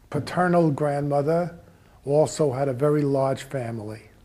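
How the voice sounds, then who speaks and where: In a room with audible echo, a man with a dark, mellow tone speaks at a fairly high pitch and a fairly slow pace, keeping his intonation fairly even. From Austria. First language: German. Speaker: Holocaust-era refugee speaker. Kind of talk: personal life story talk.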